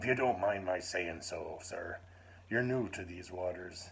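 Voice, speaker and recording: Over light background noise, a raspy put-on character voice moves at a moderate pace. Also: man, very deep, low pitch for a man. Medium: read story. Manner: steady, reliable.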